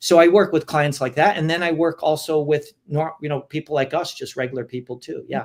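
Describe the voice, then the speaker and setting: A man speaks fairly quickly with hardly any pauses. His fairly high voice keeps a fairly even intonation. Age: 60s. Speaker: fitness trainer and vegan lifestyle consultant. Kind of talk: interview. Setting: live video stream. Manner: halting, many fillers and repetitions.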